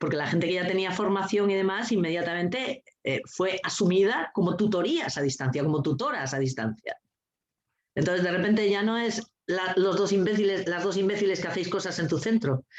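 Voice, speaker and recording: The speech moves at a fairly quick pace. The intonation is lively. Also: woman, medium pitch for a woman. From Asturias, Spain. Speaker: teacher and coeducation trainer. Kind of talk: casual chat. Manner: animated.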